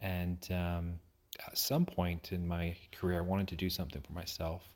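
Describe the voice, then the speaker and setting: Against a very clean recording with a silent background, a man with an American accent speaks in a very deep, low pitch, monotone and flat, at a moderate pace. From United Kingdom. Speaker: county assessor, elected official. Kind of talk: interview. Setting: at his home.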